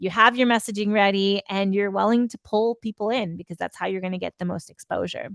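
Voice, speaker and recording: In a dry, close sound with no echo and a quiet background, a woman with a plain, everyday voice speaks at medium pitch with fairly even intonation. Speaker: PR consultant webinar host. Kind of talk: webinar presentation. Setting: online webinar.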